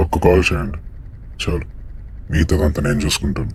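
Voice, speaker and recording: Using a put-on character voice, a man talks at a moderate pace in a very deep, low pitch with fairly even intonation, and background noise is clearly audible. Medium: short film. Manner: calm, matter-of-fact.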